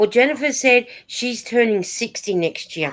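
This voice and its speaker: Pitch swings very widely in this woman's speech. Her speed stays moderate. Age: 60s. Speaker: knitting vlogger. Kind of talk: casual chat. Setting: live stream.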